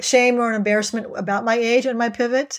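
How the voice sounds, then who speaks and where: An ordinary speaking voice from a woman, fairly high in pitch with fairly even intonation, on a very clean recording with a silent background. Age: 60s. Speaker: executive and life coach. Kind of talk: interview.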